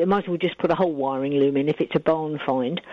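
Noticeable background noise fills the recording. Over it, a woman talks at a moderate rate. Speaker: museum co-owner. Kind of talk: radio interview. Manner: chatty, relaxed.

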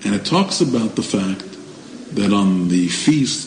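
With an American accent, a man speaks in a fairly low voice that swings very widely in pitch over noticeable background noise. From United States. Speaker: political commentator. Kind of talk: interview.

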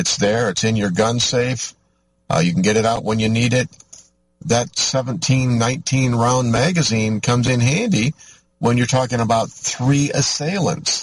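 A man with an American accent at a medium pitch, somewhat breathy, at a fairly slow pace, with ordinary pitch variation and very even loudness. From US Midwest, Michigan. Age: 50s. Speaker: radio host. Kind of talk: talk radio monologue. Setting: in a vehicle on location.

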